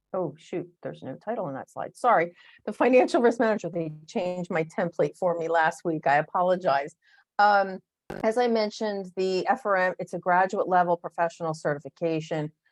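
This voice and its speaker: Against a quiet background, a woman with a normal speaking voice talks at a medium pitch and fairly quick pace with ordinary pitch variation, the sound dry and close with no echo. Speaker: association executive giving webinar talk. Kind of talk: webinar presentation. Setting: online webinar with screen share.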